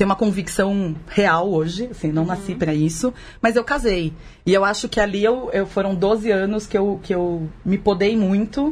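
A woman talks at a moderate pace and medium pitch. Her voice is somewhat breathy, with ordinary pitch variation. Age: 40s. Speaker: podcast guest, mother of three teenagers. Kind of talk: casual chat.

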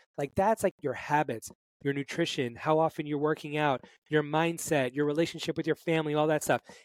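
An American-accented man speaks at a fairly quick pace in a plain, everyday voice, fairly high in pitch with fairly even intonation, recorded dry and close with no echo on a very clean, silent background. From Brooklyn, New York. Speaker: fitness coach. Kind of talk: interview.

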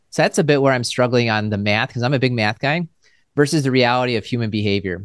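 Against a quiet background, a man speaks very fast at medium pitch with ordinary pitch variation, the sound dry and close with no echo. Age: 40s. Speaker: financial podcast host, advisor. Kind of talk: interview.

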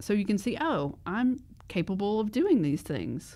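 A woman speaks in a normal speaking voice at a moderate pace. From US South. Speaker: podcast co-host. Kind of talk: casual chat.

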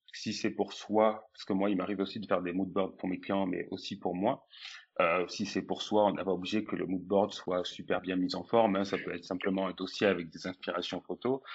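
With a flat, monotone intonation and a fairly low pitch, a man talks at a fairly quick pace. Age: 20s. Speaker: food photographer and stylist. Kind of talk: interview.

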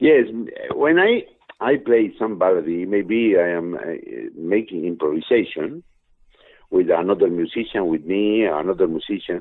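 A man with an Argentine accent speaks at a moderate pace with a fairly low pitch and lively intonation. He leaves long, frequent pauses. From Argentina. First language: Spanish. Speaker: musician. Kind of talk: interview answers. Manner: halting, broken English.

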